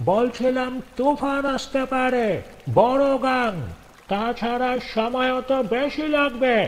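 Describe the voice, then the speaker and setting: This man uses a put-on character voice with an extremely high pitch and fairly even intonation. He talks at a very slow pace over clear background noise. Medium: read story. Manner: insistent, coaxing.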